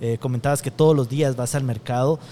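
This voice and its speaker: A man speaks in a somewhat breathy voice. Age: 40s. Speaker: podcast host, gastronomy communication expert. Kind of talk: interview. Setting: restaurant.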